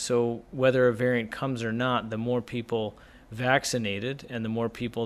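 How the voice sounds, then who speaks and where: A man with an ordinary speaking voice and medium pitch talks at a moderate pace. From US, northeast Pennsylvania. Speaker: family doctor. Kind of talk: radio interview.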